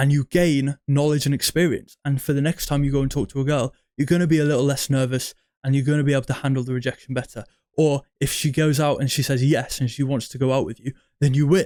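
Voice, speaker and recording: At a very fast pace, a man with a fairly high pitch speaks in a monotone, flat intonation. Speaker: self-improvement dating coach. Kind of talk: talking-head advice monologue. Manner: halting, many restarts.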